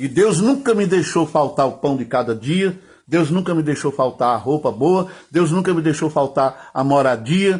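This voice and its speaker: The man's fairly high pitch shows ordinary variation, and his somewhat breathy voice moves at a moderate pace. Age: 60s. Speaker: pastor. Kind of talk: sermon.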